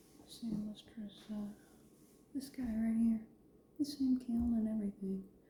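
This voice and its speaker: A woman at medium pitch speaks softly in a relaxed, somewhat breathy, dark and mellow tone with fairly even intonation. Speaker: ceramic artist. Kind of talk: soft-spoken ASMR studio routine, talking to camera. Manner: soft-spoken, quiet, relaxed.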